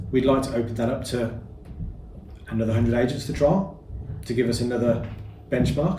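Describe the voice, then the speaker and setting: A man with a Birmingham accent, medium pitch and ordinary pitch variation, at a moderate pace amid audible room echo. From Birmingham, England. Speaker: property business founder. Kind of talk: interview. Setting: boardroom.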